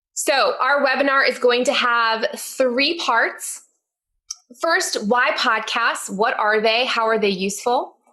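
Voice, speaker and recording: At a very slow pace, a woman speaks with high pitch, ordinary pitch variation and very even loudness. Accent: American. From US Northeast, Connecticut. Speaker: teacher and podcast host. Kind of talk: webinar presentation. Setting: online webinar.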